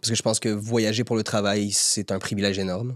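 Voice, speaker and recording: Recorded in a dry, close sound with no echo, a man speaks at a fairly quick pace in a medium pitch. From Quebec, Montreal (Saint-Léonard). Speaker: actor. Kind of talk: podcast interview. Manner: hesitant, repeats words.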